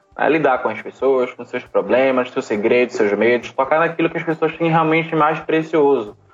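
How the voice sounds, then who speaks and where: The speech moves at a moderate pace with hardly any pauses and ordinary pitch variation, over noticeable background noise. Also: man, fairly high pitch for a man. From Brazil, Recife (Pernambuco). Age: 20s. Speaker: social entrepreneur and business consultant. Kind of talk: interview.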